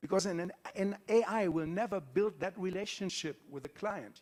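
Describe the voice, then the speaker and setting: With a German accent, the speaker uses an animated tone at a moderate pace. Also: man. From Germany. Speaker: conference speaker. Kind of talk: conference talk. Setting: stage with audience.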